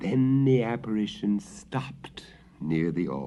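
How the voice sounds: This natural reading voice moves with lively intonation.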